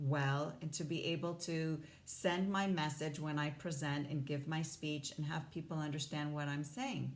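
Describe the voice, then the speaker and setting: The delivery moves at a moderate pace with fairly even intonation. Room echo is audible. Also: woman. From Hong Kong. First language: not English (English is third language). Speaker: life coach. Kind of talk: motivational talk to camera.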